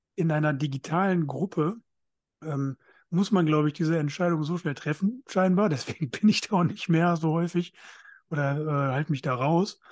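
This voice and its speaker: A man with a plain, everyday voice, fairly high in pitch, at a moderate pace with ordinary pitch variation, recorded dry and close with no echo against a quiet background. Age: 30s. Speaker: podcast co-host, men's counselor. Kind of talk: casual chat.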